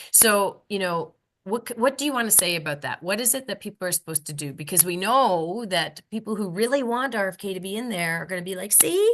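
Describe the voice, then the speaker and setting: Over a quiet background, a woman with a Canadian accent talks in an ordinary speaking voice at a medium pitch, fairly quick and with hardly any pauses, her intonation lively. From Canada. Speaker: podcast co-host. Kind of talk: casual panel discussion. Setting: video call.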